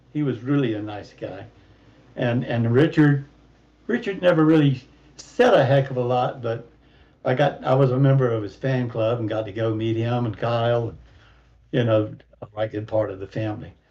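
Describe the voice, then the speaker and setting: A man's somewhat breathy, medium-pitched voice with a Southern US accent, ordinary pitch variation, a moderate pace and long, frequent pauses. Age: 70s. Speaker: sim racing driver. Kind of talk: casual chat.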